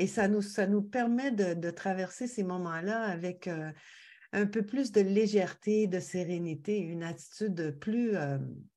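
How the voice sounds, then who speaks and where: A woman with a Quebec accent talks at medium pitch and a fairly slow pace. Her tone is dark and mellow, and the background is quiet. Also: ordinary pitch variation. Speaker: podcast guest. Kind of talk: casual interview chat. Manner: hesitant, many fillers.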